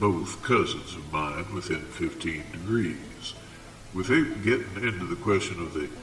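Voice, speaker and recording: Against music in the background and audible room echo, a man with a very deep, low pitch speaks at a fairly slow pace with lively intonation. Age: 60s. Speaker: local historian. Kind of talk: video essay. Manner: formal.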